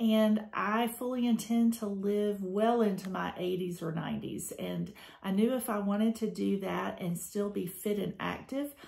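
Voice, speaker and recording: A somewhat breathy woman's voice with an American accent, moderate pace and ordinary pitch variation. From Georgia, USA. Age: 50s. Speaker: school administrator. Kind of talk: testimonial talk to camera.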